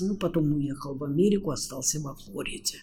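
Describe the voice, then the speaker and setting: A woman talks with very wide pitch swings. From Austria. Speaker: university lecturer and interpreter. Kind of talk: interview. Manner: animated.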